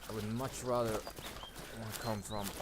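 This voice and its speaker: A man speaks in a fairly low pitch. Background noise is noticeable. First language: not English. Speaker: gaming commentator. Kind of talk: gameplay commentary. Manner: casual, conversational.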